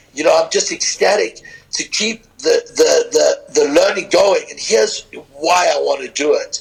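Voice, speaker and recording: Music plays in the background as a man speaks. His pace is moderate, with big swings in loudness. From southern Africa (South Africa, Zimbabwe), also London. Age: 50s. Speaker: strength and conditioning coach. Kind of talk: podcast interview.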